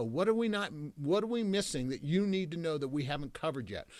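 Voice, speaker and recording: Very fast and animated, a man speaks in a fairly high voice with very wide pitch swings. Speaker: business coach. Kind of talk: live online coaching session.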